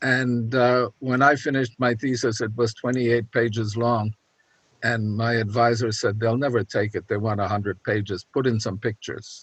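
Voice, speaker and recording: A man speaks at a moderate pace in a medium pitch, with fairly even intonation and a dry, close sound with no echo. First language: German. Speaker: audience member. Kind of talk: anecdote in Q&A. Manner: halting.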